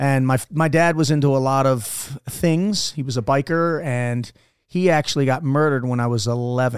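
A man with an American accent speaks at a moderate pace in a plain, everyday voice, his pitch medium with ordinary variation. The recording is very clean, with a silent background. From Maryland (Dundalk, Baltimore area). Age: 40s. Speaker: Navy SEAL veteran. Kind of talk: casual interview. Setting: studio.

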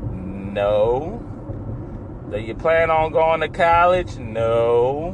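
A man's medium-pitched, lively voice at a very slow pace with long, frequent pauses, amid noticeable background noise and audible room echo. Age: 30s. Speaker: solo podcaster and pizza delivery driver. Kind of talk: casual monologue. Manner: rambling, halting with fillers.

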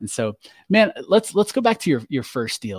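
A man's voice with very wide pitch swings, dry and close with no echo, on a very clean recording against a silent background. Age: 40s. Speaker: podcast host, real estate investor. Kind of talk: casual interview conversation. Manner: energetic, laughing often.

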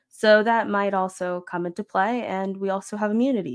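Using a normal speaking voice with an American accent, a woman speaks at medium pitch and a fairly quick pace, her pitch varying in an ordinary way, in a dry, close sound with no echo. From Florida. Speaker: podcaster. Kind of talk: casual chat.

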